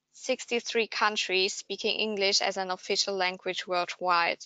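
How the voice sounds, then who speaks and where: A woman of medium pitch with a German accent, monotone, flat intonation and a moderate pace. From Germany. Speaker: language market researcher. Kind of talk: webinar presentation. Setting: online webinar.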